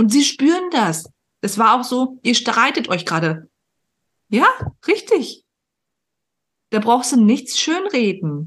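At a very slow pace with long, frequent pauses, a woman speaks in a high voice whose pitch swings very widely. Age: 30s. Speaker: podcast host and performance coach. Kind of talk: casual interview chat. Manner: animated.

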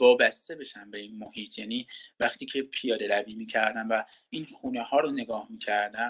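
A man speaks in a normal speaking voice at a medium pitch. His pace is moderate and his intonation fairly even. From Iran. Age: 30s. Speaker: project manager in finance IT, returned emigrant. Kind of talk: interview, casual conversation.

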